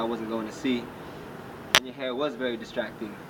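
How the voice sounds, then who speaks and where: Amid noticeable background noise, a man talks very fast at a medium pitch with monotone, flat intonation. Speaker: spoken word poet. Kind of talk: spoken word poetry performance.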